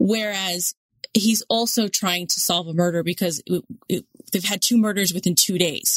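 A woman's medium-pitched, somewhat breathy voice at a moderate pace, fairly even in intonation, with a dry, close sound and no echo. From New York City (Queens). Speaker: podcast co-host. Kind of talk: casual chat.

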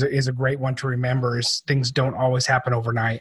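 Recorded dry and close with no echo, a man talks at a fairly quick pace and medium pitch. His voice is somewhat breathy. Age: 40s. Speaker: podcast host. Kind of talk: interview. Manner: animated.

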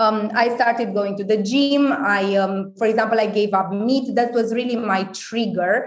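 The voice belongs to a woman with a fairly high pitch and a Romanian accent. She speaks with hardly any pauses. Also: moderate pace, very even loudness. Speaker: wellness company founder. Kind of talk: casual interview.

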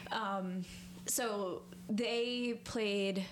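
A woman with a plain, everyday voice speaks at a medium pitch with ordinary pitch variation and an American accent. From US Northeast, New York (northern Westchester). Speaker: singer in a band. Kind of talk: casual chat.

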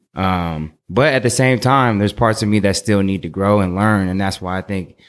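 Speaking at a fairly quick pace and a fairly low pitch, a man with an unremarkable speaking voice is heard on a very clean recording with a silent background. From Oakland, California. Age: 30s. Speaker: clothing designer. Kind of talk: casual chat.

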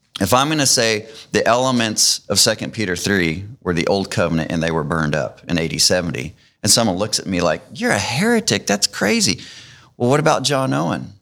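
In a very clean recording with a silent background, a man with a plain, everyday voice talks at a fairly quick pace, his fairly low pitch carried by lively intonation. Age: 50s. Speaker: author and bible teacher. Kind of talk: testimony. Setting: church auditorium with others present.

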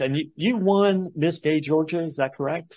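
A man with an ordinary speaking voice, fairly high pitch and moderate pace, over a quiet background. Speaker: podcast host. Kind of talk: interview.

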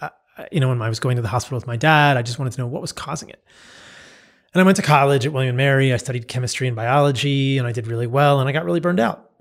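Energetic and very fast, a man speaks at a medium pitch with ordinary pitch variation on a very clean recording with a silent background. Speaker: physician and diet author. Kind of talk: casual interview.

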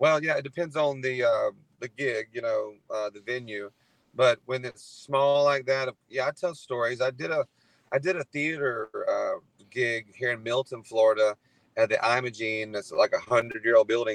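At a moderate pace, a man talks in an ordinary speaking voice at a medium pitch with ordinary pitch variation, the sound dry and close with no echo. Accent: American. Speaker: country singer-songwriter. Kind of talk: casual interview. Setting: phone call while driving.

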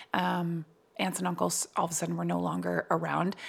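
The woman talks fairly quickly with an American accent. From New Jersey. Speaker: voice actor and comedian. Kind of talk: casual interview chat.

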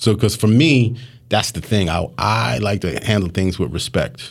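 A man's fairly low voice with vocal fry and lively intonation. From Philadelphia, US. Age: 40s. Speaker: news photojournalist. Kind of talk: casual interview.

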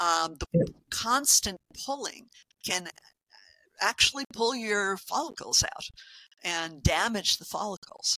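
At a fairly slow pace with long, frequent pauses, a woman talks at a medium pitch in a bright, sharp tone, with big swings in loudness and a dry, close sound with no echo. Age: 60s. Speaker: health coach. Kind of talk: interview. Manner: halting.

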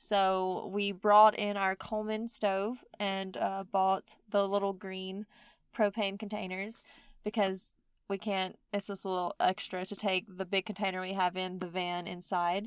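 Speaking at a fairly slow pace with a Mississippi accent, a woman keeps a medium pitch and a monotone, flat intonation in a dry, close sound with no echo. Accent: Southern US (Mississippi). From US South, Mississippi. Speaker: podcast host. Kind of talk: solo podcast monologue.

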